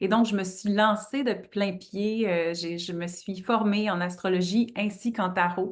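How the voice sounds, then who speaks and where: A woman with a Quebec accent, a very slow pace and fairly even intonation, over a quiet background. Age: 30s. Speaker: astrologer. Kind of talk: interview.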